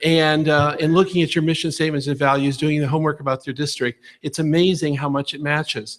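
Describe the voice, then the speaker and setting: On a very clean recording with a silent background, a man with a fairly high pitch talks at a very fast pace. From Ohio. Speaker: school superintendent search consultant. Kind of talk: presentation to school board. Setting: public board meeting. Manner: animated.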